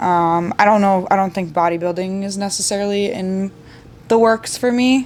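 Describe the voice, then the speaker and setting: At a moderate pace and with ordinary pitch variation, a woman talks in a plain, everyday voice. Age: 20s. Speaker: bartender and army reservist. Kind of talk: casual podcast chat. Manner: casual, filler-heavy speech.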